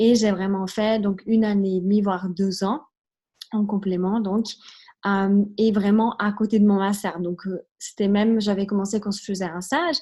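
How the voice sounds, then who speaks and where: A woman with a slight Italian accent speaks at a moderate pace and medium pitch, her somewhat breathy voice dark and mellow in tone with fairly even intonation over a quiet background. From Switzerland. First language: Italian (speaking French). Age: 20s. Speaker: network marketing recruiter. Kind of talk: testimony. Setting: video call.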